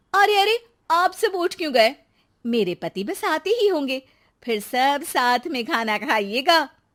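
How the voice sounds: A woman puts on a character voice, high in pitch and fairly bright in tone, with big pitch swings. She goes at a fairly slow pace on a very clean recording with a silent background.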